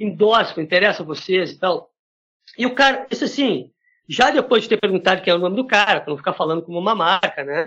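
A man talks at a fairly quick pace with lively intonation. His tone is bright and sharp. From Brazil, Porto Alegre. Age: 40s. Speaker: drummer. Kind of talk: casual chat.

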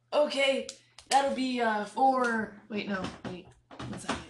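A woman's put-on character voice, high and raspy, at a fairly slow pace.

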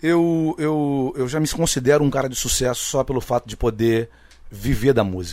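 A man with a fairly high pitch speaks in a plain, everyday voice with lively intonation at a moderate pace, on a very clean recording with a silent background. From Rio de Janeiro (Rocinha favela). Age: 40s. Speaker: samba singer. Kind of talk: casual interview chat.

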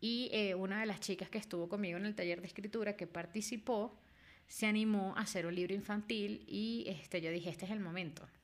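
Very fast, medium-pitched speech from a woman, with ordinary pitch variation. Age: 30s. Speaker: book editor and podcast host. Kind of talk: casual monologue. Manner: frequent fillers and repetitions.

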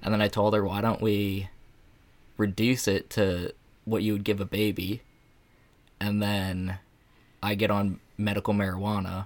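Recorded very cleanly against a silent background, a man with a fairly low pitch talks at a moderate pace in a monotone, flat intonation, his loudness very even and his pauses long and frequent. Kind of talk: casual chat. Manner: relaxed, mellow.

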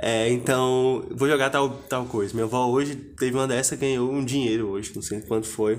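A man speaks in a flat monotone at a moderate pace with hardly any pauses. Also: medium pitch for a man. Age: 20s. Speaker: podcast host. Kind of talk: casual interview.

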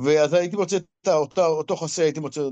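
This man's voice sits fairly high. The recording is dry and close, free of any echo. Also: quiet background. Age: 60s. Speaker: business owner in apartment clearing and cleaning. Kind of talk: interview. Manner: halting, repetitive.

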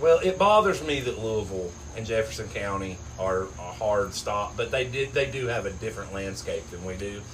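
Through audible room echo and noticeable background noise, a man speaks at a moderate pace in a fairly low pitch with ordinary pitch variation. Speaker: sports podcast co-host. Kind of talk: casual chat.

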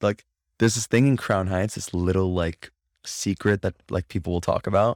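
With an American accent, a man talks fairly quickly in a plain, everyday voice at a fairly low pitch, his intonation fairly even, the sound dry and close with no echo, and the recording very clean against a silent background. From Florida. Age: young. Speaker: singer-songwriter. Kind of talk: casual interview.

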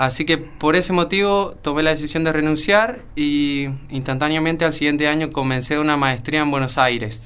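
A man's fairly high, bright, sharp voice at a moderate pace, with hardly any pauses, ordinary pitch variation, very even loudness and audible room echo. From Argentina, San Juan. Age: 20s. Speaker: young industrial engineer. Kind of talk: radio interview.

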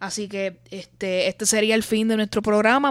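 With an ordinary speaking voice, a woman at fairly high pitch talks at a moderate pace, the recording very clean with a silent background and a dry, close sound with no echo. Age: late 20s. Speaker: podcast host. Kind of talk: casual chat.

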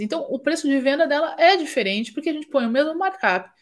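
A very clean recording of a woman speaking high, the background silent. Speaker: fashion business consultant and podcast host. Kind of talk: live stream Q&A and business teaching. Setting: live stream.

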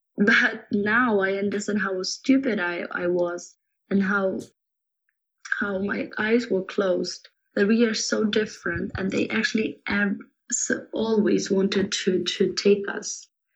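With a Ukrainian accent, a woman speaks at a fairly slow pace and keeps her intonation fairly even. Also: medium pitch for a woman. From Kyiv, Ukraine. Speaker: Ukrainian student and volunteer. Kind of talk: interview answers. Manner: halting, repeats words.

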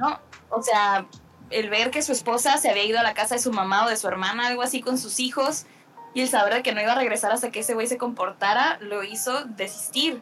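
A woman's fairly high voice with ordinary pitch variation, fairly quick pace and music in the background. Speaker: podcast co-host, filmmaker. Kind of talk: casual film discussion chat.

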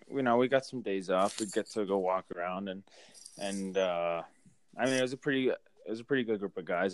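Speaking with an American accent, a man uses a fairly low pitch and fairly even intonation in a normal speaking voice. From Massachusetts, Boston area. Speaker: professional hockey player. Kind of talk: casual interview.

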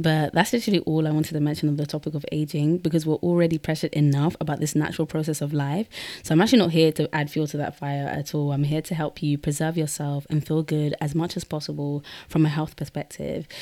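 Very fast speech comes from a woman. Her voice is very deep and low, with a dark, mellow tone. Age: 20s. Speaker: podcast host. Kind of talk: solo podcast monologue. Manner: energetic.

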